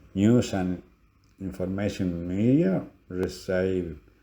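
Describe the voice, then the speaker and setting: Very deep and low in pitch, a man speaks very slowly in a Spanish accent with a dark, mellow tone. Audible room echo surrounds his voice. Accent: Spanish accent, noticeable. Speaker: lecturer. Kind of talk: lecture. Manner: halting.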